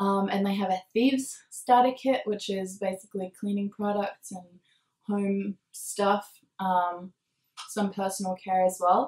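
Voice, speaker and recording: This woman talks at a fairly slow pace with a medium pitch. Her voice is somewhat breathy and her intonation fairly even. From Norway. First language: Norwegian. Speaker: essential oils vlogger. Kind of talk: product demo. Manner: casual with many fillers.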